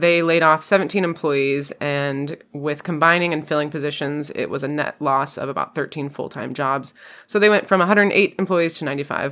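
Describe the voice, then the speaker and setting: A woman's very deep, low voice at a fairly quick pace with hardly any pauses. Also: ordinary pitch variation. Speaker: podcast host. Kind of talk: casual chat. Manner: fast.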